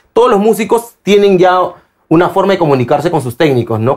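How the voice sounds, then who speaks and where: The background is quiet as a man delivers his words at a fairly quick pace. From Peru. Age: 40s. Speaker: concert roadie and stage technician; guest. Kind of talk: casual interview. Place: studio.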